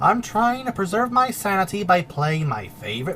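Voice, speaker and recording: Over noticeable background noise, the speech moves at a moderate pace. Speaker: video essayist. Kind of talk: scripted commentary. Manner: animated.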